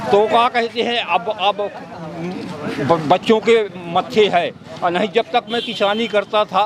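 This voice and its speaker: A man speaks at a high pitch with ordinary pitch variation and long, frequent pauses. Crowd noise can be heard in the background. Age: 70s. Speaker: farmer. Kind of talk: street interview. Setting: outdoors at a tea stall. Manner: halting, repetitive.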